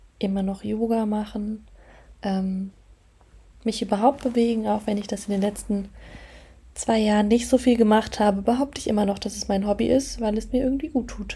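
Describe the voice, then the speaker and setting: A woman with a fairly high pitch and a dark, mellow tone speaks at a moderate pace in a monotone, flat intonation, somewhat breathy, with long, frequent pauses. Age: 20s. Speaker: podcast host and property manager. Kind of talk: casual solo podcast monologue.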